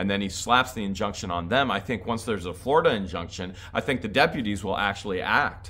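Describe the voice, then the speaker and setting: A bright, sharp, animated voice at a very fast pace, with ordinary pitch variation. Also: man, fairly low pitch for a man, hardly any pauses. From Ohio. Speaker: YouTuber. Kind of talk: casual chat answering viewer questions. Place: home room. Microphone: phone near.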